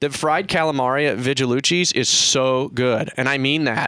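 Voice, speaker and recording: With an American accent, a man speaks in a bright, sharp tone at fairly high pitch, recorded very cleanly against a silent background. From US Midwest, Missouri. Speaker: radio host, realtor. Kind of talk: radio interview. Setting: studio.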